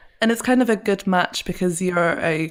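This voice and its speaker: With an English accent, a woman speaks at medium pitch on a very clean recording with a silent background. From England. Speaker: podcast co-host, SEO specialist. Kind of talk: casual podcast chat.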